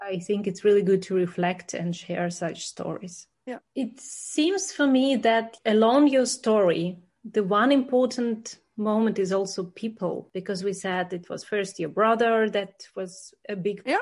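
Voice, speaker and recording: At a fairly slow pace, a somewhat breathy woman speaks with hardly any pauses. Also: medium pitch for a woman, ordinary pitch variation. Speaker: podcast host. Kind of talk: casual interview chat.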